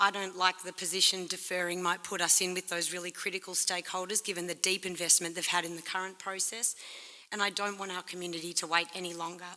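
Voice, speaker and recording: Putting on a character voice, a woman speaks very fast at a medium pitch, croaky and hoarse, with monotone, flat intonation. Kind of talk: professional workplace speech.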